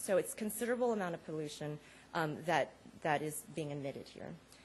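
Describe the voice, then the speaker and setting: A woman with a very deep, low pitch speaks with lively intonation, a somewhat breathy voice, big swings in loudness and long, frequent pauses. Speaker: conference panelist. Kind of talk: conference talk. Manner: fast; many fillers (um).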